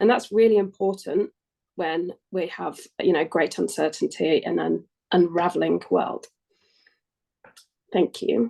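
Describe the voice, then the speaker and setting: A woman with an English accent speaks at a fairly slow pace, with long, frequent pauses. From England. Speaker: climate action adviser. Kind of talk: workshop presentation. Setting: webinar.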